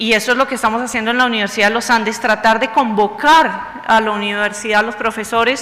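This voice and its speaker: A woman with a Bogotá accent, fairly high in pitch and fairly quick, over audible room echo and noticeable background noise. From Bogotá, Colombia. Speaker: university vice-rector, lecturer. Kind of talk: lecture.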